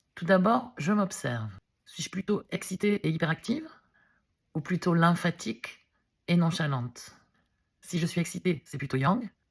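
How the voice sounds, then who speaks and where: Lively intonation and big swings in loudness mark this fairly slow delivery with long, frequent pauses, recorded very clean with a silent background and a dry, close sound with no echo. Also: woman, fairly low pitch for a woman. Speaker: wellness video blogger, reflexology practitioner. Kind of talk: vlog explainer.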